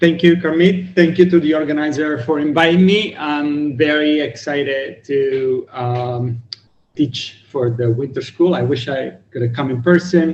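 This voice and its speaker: This man speaks at a fairly slow pace with fairly high pitch and ordinary pitch variation. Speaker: cryptography researcher lecturer. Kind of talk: lecture. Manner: loud.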